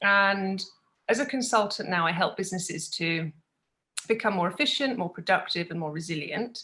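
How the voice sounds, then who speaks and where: With a British accent, a woman speaks at a medium pitch and moderate pace. Her tone is bright and sharp, with ordinary pitch variation. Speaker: business consultant. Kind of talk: podcast interview.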